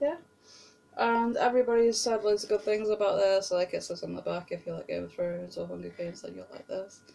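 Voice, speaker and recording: A woman talks at a very fast pace with a British accent. Her loudness swings a lot. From Britain. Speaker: book vlogger. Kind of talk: casual vlog monologue. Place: home room. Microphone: webcam.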